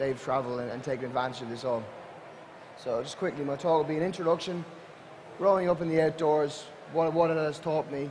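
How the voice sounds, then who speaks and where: In an Irish accent, a man with a fairly high voice talks at a fairly quick pace over noticeable background noise. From Ireland, Atlantic coast. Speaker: adventure company social media director and outdoor instructor. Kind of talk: conference talk to an audience.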